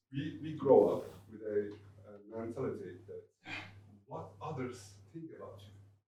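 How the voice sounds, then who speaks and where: A man speaks fairly slowly with a Turkish accent, leaving long, frequent pauses. His loudness swings a lot. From Turkey. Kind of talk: panel discussion. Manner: halting.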